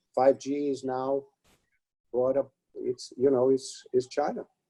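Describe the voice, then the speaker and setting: In a Romanian accent, a man talks at a fairly slow pace with a fairly high pitch. His tone is dark and mellow, and the sound is dry and close with no echo. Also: fairly even intonation. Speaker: retired advertising executive. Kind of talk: webinar interview.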